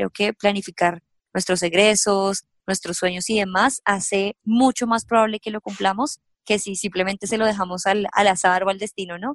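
In a dry, close sound with no echo, a woman with an unremarkable speaking voice speaks at medium pitch and a moderate pace, her intonation fairly even. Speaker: personal finance youtuber. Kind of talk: interview.

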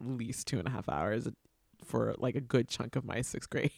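A man talks at a fairly quick pace with vocal fry. The sound is dry and close with no echo, on a very clean recording with a silent background. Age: 40s. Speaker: podcast host, teaching artist. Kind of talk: casual interview chat.

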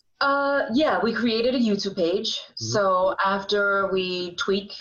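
Her voice is an unremarkable speaking voice, medium in pitch for a woman. She moves at a fairly slow pace with lively intonation. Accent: American. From Sullivan County, New York. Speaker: actor and driving school helper. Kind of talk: interview, casual chat.

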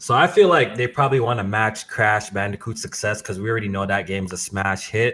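Talking at a very fast pace with hardly any pauses, a man uses a fairly low pitch and ordinary pitch variation. His tone is bright and sharp. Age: 20s. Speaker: gaming podcast host. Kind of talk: casual chat.

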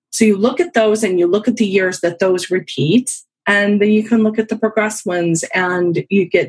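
A woman's somewhat breathy voice at a medium pitch, moderate in pace, with ordinary pitch variation. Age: 50s. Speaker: professional astrologer. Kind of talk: casual chat.

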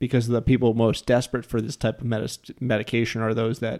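On a very clean recording with a silent background, a man with an American accent speaks at medium pitch in a dark, mellow tone with monotone, flat intonation. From New Jersey. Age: 30s. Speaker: podcast host. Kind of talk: casual chat.

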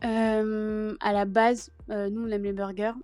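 At a very slow pace, a woman talks in a fairly high pitch with a dark, mellow tone. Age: 30s. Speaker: restaurant owner. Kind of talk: casual interview.

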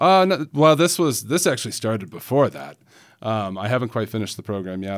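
A man with a fairly low pitch speaks at a fairly quick pace, his pitch swinging very widely. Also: very clean recording, silent background. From Salt Lake City, Utah. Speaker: poet. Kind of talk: interview.

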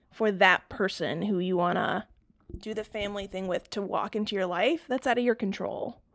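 A woman with an American accent talks in an unremarkable speaking voice, fairly high in pitch with ordinary pitch variation. The recording is very clean, with a silent background. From North Carolina. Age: 30s. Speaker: brand designer. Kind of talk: casual chat.

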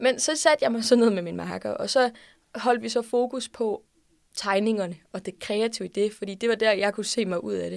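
Delivered at a moderate pace with ordinary pitch variation, the speech comes through in a very clean recording with a silent background. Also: woman, fairly high pitch for a woman. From Denmark, Odense. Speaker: student organisation leader. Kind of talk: interview. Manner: hesitant with fillers.

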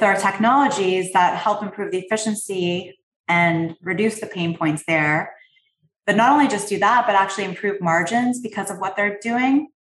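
A woman speaks with a slight Canadian accent at medium pitch and a moderate pace. Her voice is somewhat breathy, with ordinary pitch variation. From Canada. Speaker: private equity investor. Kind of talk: interview.

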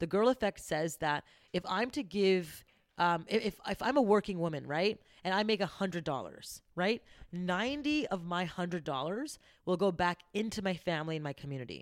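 Captured in a very clean recording with a silent background, a woman with an ordinary speaking voice talks at a moderate pace, medium in pitch, with lively intonation. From Canada. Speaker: entrepreneur. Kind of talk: casual chat.

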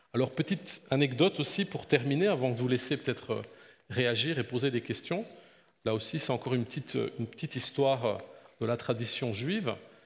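A man speaks at a fairly quick pace in a somewhat breathy, medium-pitched voice with ordinary pitch variation. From Belgium. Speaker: pastor. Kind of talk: Bible lecture. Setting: church.

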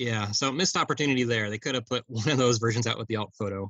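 A man is speaking. He has a plain, everyday voice. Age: 40s. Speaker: toy collector. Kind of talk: casual chat.

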